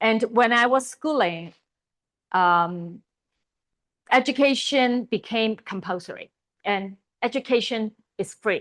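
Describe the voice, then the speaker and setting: A woman with a Chinese accent and a fairly high pitch speaks at a very slow pace with long, frequent pauses and ordinary pitch variation, over a quiet background in a dry, close sound with no echo. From Hong Kong. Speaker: Bible college teacher. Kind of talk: lecture. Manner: halting.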